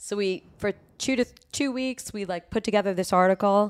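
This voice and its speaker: A woman with an ordinary speaking voice, medium pitch and ordinary pitch variation, dry and close with no echo, on a very clean recording with a silent background. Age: 40s. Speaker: music industry promotions executive. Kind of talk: casual chat.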